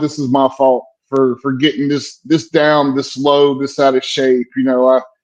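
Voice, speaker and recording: A man talks with a Southern US accent at a fairly high pitch. His intonation is monotone and flat. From US South, South Carolina. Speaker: military veteran. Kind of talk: casual chat.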